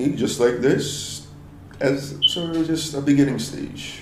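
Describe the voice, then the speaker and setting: A man's fairly slow speech, with audible room echo and noticeable background noise. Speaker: audio engineer. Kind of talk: mix commentary. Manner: low energy. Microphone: poor audio quality.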